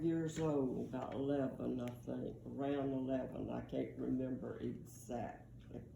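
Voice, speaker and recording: A woman with a Southern US accent speaks in a dark, mellow tone, and the room echo is audible. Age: 80s+. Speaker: grandmother telling family history. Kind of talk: oral history storytelling. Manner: halting.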